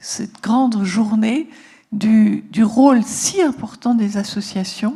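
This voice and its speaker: A woman's fairly high-pitched voice at a very slow pace, with ordinary pitch variation. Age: 70s. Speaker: psychotherapist and author. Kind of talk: talk to an audience. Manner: halting.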